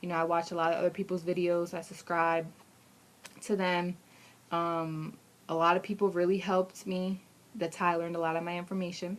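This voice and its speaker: A woman with an American accent speaks at a fairly quick pace in a fairly low pitch, with monotone, flat intonation and long, frequent pauses. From Pennsylvania. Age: 20s. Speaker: vlogger, Navy applicant. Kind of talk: casual video diary. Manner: fast.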